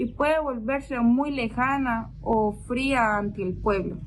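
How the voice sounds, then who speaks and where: Her voice is pitched fairly high. The woman talks with a non-native accent. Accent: non-native Spanish speaker. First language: not Spanish (speaking Spanish). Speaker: theology student. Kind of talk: reading aloud a prepared reflection. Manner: formal.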